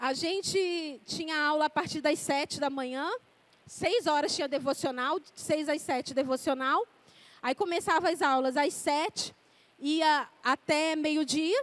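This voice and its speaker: Her pace is fairly slow. The woman's pitch is high. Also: ordinary pitch variation. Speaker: preacher. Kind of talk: sermon.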